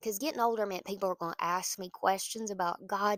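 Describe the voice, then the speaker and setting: A woman at medium pitch with a Southern US accent, fairly quick, bright and sharp in tone, the sound dry and close with no echo. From US South, small town. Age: 30s. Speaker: pastor. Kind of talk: casual encouragement talk. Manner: animated.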